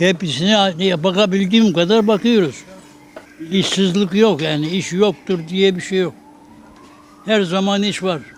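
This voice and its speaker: Against noticeable background noise, a high-pitched man speaks at a very slow pace with fairly even intonation and long, frequent pauses. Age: 80s+. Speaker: umbrella repairman. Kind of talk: interview answer.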